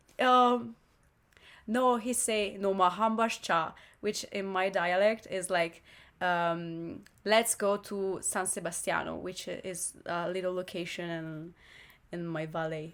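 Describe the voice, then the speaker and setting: A woman with an Italian accent at a very slow pace. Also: medium pitch for a woman, ordinary pitch variation. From northern Italy, Lombardy. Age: 20s. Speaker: exchange student and singer. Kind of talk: casual interview chat. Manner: halting, searching for words.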